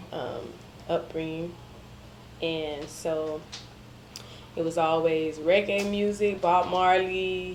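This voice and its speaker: A woman with an American accent speaks very slowly at a fairly low pitch in flat, monotone intonation, with long, frequent pauses and audible room echo. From Miami, Florida, Jamaican family. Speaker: media interviewer and digital marketer. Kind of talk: interview conversation. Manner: casual, hesitant with many ums.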